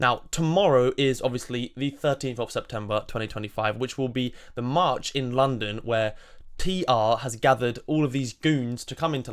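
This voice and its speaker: Pitched in the medium range, a man speaks at a moderate pace with ordinary pitch variation. The recording is very clean, with a silent background. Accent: southern English. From southern England, Surrey. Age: 20s. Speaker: political commentator. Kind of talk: monologue.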